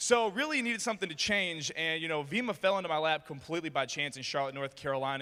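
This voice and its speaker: A man with an American accent, very fast pace, lively intonation and a bright, sharp tone. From US Midwest, Detroit, Michigan. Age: 20s. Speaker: motivational speaker. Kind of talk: motivational speech. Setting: stage with audience. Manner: animated.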